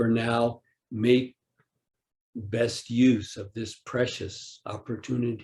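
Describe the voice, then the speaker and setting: Somewhat breathy and very slow, a man speaks with monotone, flat intonation and long, frequent pauses. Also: medium pitch for a man. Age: 60s. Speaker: Zen teacher. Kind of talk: dharma talk. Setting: online retreat.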